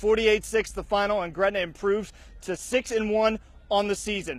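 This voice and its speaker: A high-pitched male voice against noticeable background noise. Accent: American. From Oklahoma. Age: 20s. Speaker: sports reporter. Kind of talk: sports anchor read.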